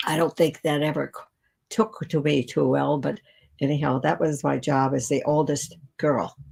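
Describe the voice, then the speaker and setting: With a very deep, low pitch and vocal fry, a woman speaks at a moderate pace in fairly even intonation. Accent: American. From US Midwest, Cleveland, Ohio. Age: 90s. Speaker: artist and nature educator. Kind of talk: casual live show talk. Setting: live video program. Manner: halting, with false starts.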